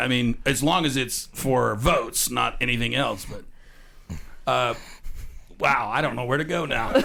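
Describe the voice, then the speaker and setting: In a raspy put-on character voice of medium pitch, a man talks at a moderate pace with long, frequent pauses. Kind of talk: parody news anchor. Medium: comedy sketch. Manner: brash, blustering.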